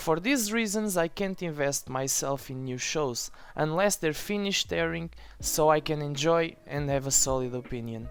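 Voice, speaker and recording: Moderate pace with a non-native accent. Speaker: TV series reviewer. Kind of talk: opinion review voice-over.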